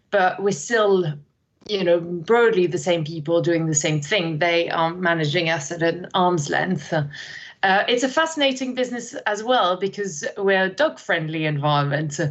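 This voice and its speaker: A woman speaks with a French accent, her pitch fairly low. Her pitch varies in an ordinary way, and her loudness stays very even. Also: moderate pace. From France, countryside, moved to London at twelve. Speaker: learning and development manager. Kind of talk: podcast interview. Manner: energetic; hesitant fillers.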